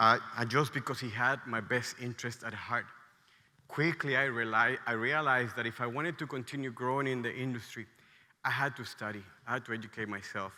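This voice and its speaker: A man with a Mexican accent, a bright, sharp tone, fairly even intonation and a fairly quick pace. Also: medium pitch for a man. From Mexico, State of Mexico. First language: Spanish. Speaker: restaurant entrepreneur, conference speaker. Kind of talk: conference talk. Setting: stage with audience.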